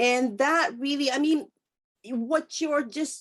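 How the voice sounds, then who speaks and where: The speaker has a Japanese accent and ordinary pitch variation. The pace is fairly slow. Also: woman. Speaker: interview host. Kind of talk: interview. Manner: halting.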